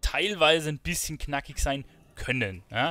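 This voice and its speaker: Vocal fry runs through this man's fairly high voice. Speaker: gaming YouTuber. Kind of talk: casual gaming commentary. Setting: recorded late at night at home, playing a game. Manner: relaxed, chatty.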